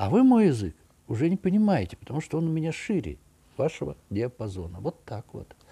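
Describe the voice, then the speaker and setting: A man with a dark, mellow tone and a somewhat breathy voice speaks at a fairly quick pace with very wide pitch swings. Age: 60s. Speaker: architect and art commentator; commentator. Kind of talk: video monologue. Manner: conversational, with hesitations. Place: home room. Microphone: webcam.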